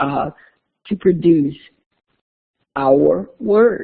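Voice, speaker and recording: The woman's intonation is lively as she talks. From US South. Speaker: university lecturer. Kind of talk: lecture. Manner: conversational.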